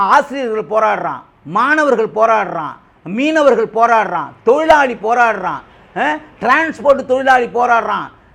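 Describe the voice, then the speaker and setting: Extremely high-pitched, a man speaks with lively intonation. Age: 50s. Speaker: political party supporter. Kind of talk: political interview rebuttal. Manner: animated.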